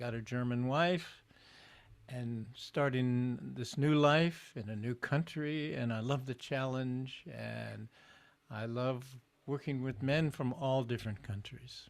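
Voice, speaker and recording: A man's medium-pitched voice moves at a very slow pace with fairly even intonation. The recording is very clean, with a silent background. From Southern California. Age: 80s+. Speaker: men's group facilitator. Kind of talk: casual conversation. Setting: live stream.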